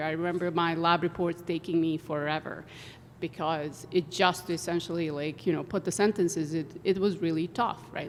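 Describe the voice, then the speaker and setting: This woman has a non-native accent and a fairly low pitch. She speaks at a moderate pace. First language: not English. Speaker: engineering professor. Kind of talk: panel discussion.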